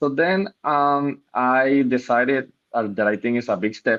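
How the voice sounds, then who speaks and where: This man has a Spanish accent. He talks at a fairly slow pace. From Puerto Rico. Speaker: medical student. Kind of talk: personal introduction. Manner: halting.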